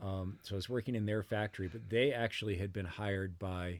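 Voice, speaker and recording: This man has an American accent and a very deep, low pitch. He talks at a moderate pace with fairly even intonation. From Massachusetts (Brookline, Boston area). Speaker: experimental musician and university media lecturer. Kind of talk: casual interview chat. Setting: remote call. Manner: halting, many fillers and restarts.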